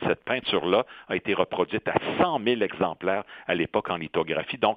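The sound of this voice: With a dry, close sound and no echo, a man speaks at low pitch and a fairly quick pace with ordinary pitch variation.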